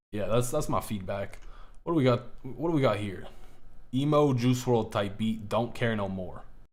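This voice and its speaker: A man with an animated tone talks at a medium pitch with ordinary pitch variation, and room echo is audible. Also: moderate pace. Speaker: music producer streamer reviewing beats. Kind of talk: live stream beat review. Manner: stutters at times; casual, animated.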